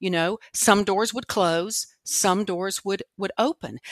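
Fairly slow speech from a woman with an ordinary speaking voice at a medium pitch, dry and close with no echo, on a very clean recording with a silent background. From Washington, D.C. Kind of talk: interview.

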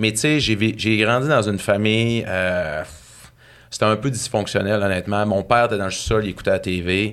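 In a normal speaking voice, a man talks at a moderate pace with a fairly low pitch and ordinary pitch variation. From Saguenay, Quebec. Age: 40s. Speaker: author and speaker. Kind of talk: casual interview, personal storytelling.

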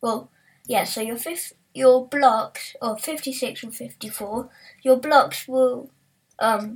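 A woman's voice, high in pitch, with ordinary movement up and down. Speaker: Minecraft building podcaster. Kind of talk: tutorial. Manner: halting.

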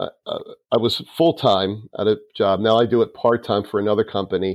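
A man with an American accent speaks in a plain, everyday voice at medium pitch and a moderate pace. The sound is dry and close with no echo, over a quiet background. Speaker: musician and theater alumnus. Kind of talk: interview.

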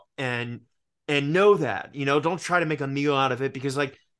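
In an American accent, an unremarkable speaking voice moves at a moderate pace with ordinary pitch variation against a quiet background. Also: man. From US South, Richmond, Virginia. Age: 30s. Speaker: actor and podcast host. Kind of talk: casual chat. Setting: video call.

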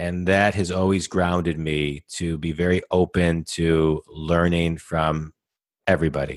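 A man is speaking. He has an American accent. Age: 40s. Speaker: business coach. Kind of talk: interview.

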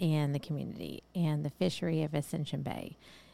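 A woman speaks in a very deep, low register with a dark, mellow tone and a Texas accent. The recording is very clean, with a silent background. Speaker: fishing podcast co-host. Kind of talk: casual chat.

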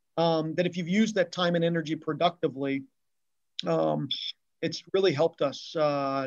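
This man has a plain, everyday voice with a fairly high pitch. He talks at a fairly quick pace with fairly even intonation. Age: 50s. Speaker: retail loss prevention executive. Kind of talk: casual interview chat.

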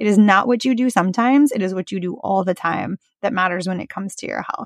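A woman with an American accent sounds animated, her intonation lively. The sound is dry and close, with no echo. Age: 40s. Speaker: podcast host, environmental lawyer. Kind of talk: casual solo podcast talk. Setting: recording in a closet while traveling. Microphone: portable setup without sound dampening panels.

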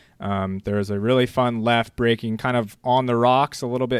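An unremarkable speaking voice in an American accent talks at a moderate pace, on a very clean, dry and close recording with no echo and a silent background. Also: man. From US West Coast, San Clemente, California. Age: 20s. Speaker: bodyboarding shop staff. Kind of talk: interview.

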